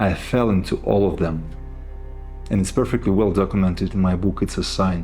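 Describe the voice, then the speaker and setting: With music playing in the background and audible room echo, a speaker with a non-native accent talks at a moderate pace with ordinary pitch variation. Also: man. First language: not English. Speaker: self-help speaker. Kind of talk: motivational talk.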